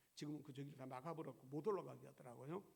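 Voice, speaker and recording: A man's fairly high voice with vocal fry and fairly even intonation, in audible room echo. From South Korea. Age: 70s. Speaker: pastor. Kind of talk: sermon. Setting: church.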